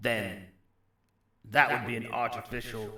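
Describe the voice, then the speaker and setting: This voice belongs to a man. He uses a put-on character voice. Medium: actual play. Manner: courteous, mercenary, candid.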